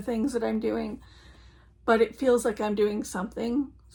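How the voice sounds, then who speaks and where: The woman's voice is fairly high in pitch and somewhat breathy. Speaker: crafting vlogger. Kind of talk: casual chat. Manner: hesitant, many fillers.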